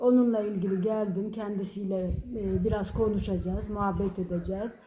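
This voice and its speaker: In a medium pitch, a woman speaks at a moderate pace with monotone, flat intonation. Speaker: oral history interviewer. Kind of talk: interview questions.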